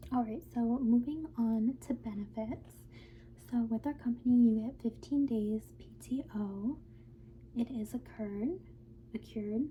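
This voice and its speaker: Soft-spoken and gentle in tone, a woman talks at a fairly slow pace with big swings in loudness. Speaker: ASMR creator. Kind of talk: ASMR roleplay as an HR manager giving a new-hire orientation. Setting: quiet close-mic recording with typing and mouse clicking sounds. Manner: soft-spoken, gentle.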